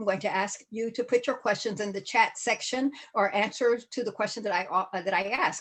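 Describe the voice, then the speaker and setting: Pitched at a medium level, a woman talks with ordinary pitch variation. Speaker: real estate safety speaker. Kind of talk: webinar presentation. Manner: fast; animated.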